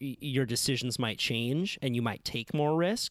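In a very clean recording with a silent background, a man with an American accent uses a normal speaking voice, ordinary pitch variation and a moderate pace. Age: 20s. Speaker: podcast host and surfer journalist. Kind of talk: casual chat; scripted narration.

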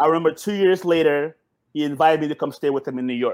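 Someone with an American accent speaks at a moderate pace, using ordinary pitch variation. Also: man. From Suriname, raised in the US from childhood. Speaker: entrepreneur. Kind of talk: casual chat. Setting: video call.

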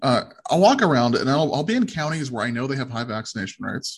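Somewhat breathy speech at a very fast pace. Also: man. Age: 30s. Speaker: podcast host. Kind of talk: interview. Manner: hesitant, frequent fillers.

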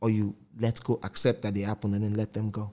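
With a Nigerian accent and a dark, mellow tone, a man talks at a fairly quick pace. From Nigeria, Port Harcourt. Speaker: podcast host. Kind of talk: casual interview chat.

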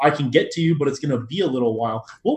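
A man with an American accent talks at a very fast pace. His voice is somewhat breathy. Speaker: podcast co-host. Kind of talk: casual business chat.

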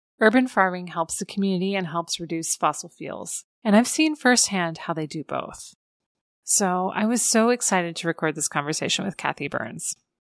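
A woman at medium pitch with a Midwestern American accent, dry and close with no echo, on a very clean recording with a silent background. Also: moderate pace. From Iowa. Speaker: podcast host. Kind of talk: scripted narration; interview conversation.

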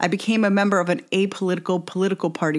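A woman with a plain, everyday voice at medium pitch and an American accent speaks at a fairly quick pace on a very clean recording with a silent background. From United States. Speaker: podcast host and activist. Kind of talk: scripted narration.

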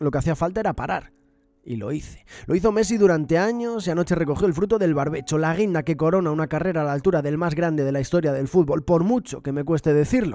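A man's fairly high voice with a dark, mellow tone and lively intonation, racing at a very fast pace. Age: 30s. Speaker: podcaster. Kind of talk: scripted narration.

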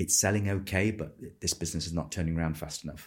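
A somewhat breathy voice at a fairly quick pace, with ordinary pitch variation, on a very clean recording with a silent background. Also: man. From Manchester, northern England. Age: 50s. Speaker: business founder. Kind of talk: interview.

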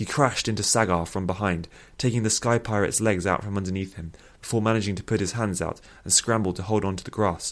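Natural voice, reading.

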